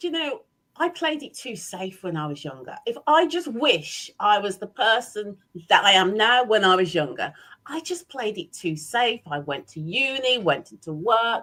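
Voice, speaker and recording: A woman with an English accent speaks at a moderate pace in a fairly high, bright, sharp voice with an animated tone. Her pitch swings very widely and her loudness rises and falls sharply. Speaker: business owner and leadership trainer. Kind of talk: interview.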